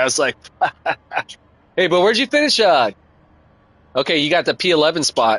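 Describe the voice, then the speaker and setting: Recorded with a dry, close sound and no echo, a man talks at a very fast pace in a high pitch with a bright, sharp tone. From US West Coast, Oakland / San Francisco Bay Area. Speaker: gaming live streamer. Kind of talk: casual live-stream chat. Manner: casual, hesitant with many fillers.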